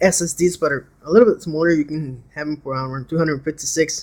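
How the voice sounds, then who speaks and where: Fairly high-pitched speech from a man with a non-native accent. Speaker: seller reviewing his laptop. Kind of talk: casual product demo. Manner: hesitant, many fillers.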